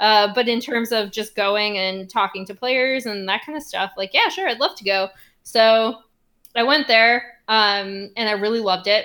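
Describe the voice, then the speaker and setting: Ordinary pitch variation and a moderate pace in a plain, everyday voice. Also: woman, fairly high pitch for a woman, big swings in loudness. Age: 30s. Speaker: esports journalist. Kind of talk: casual interview chat.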